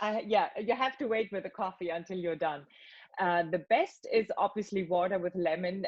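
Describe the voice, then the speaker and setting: Speaking at a fairly quick pace, a woman has an unremarkable speaking voice at a medium pitch. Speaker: voice actor. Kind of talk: interview answer. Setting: video call.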